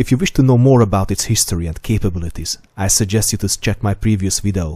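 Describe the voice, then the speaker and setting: Somewhat breathy and dark, mellow in tone, a man talks at a fairly quick pace with a fairly low pitch and ordinary pitch variation. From Hungary. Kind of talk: scripted narration.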